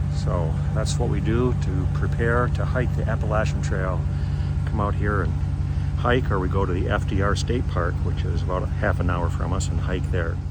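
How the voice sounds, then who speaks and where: Audible room echo surrounds this voice. A man is speaking at a moderate pace. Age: 60s. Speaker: hiking vlogger. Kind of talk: casual vlog narration. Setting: outdoors. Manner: casual.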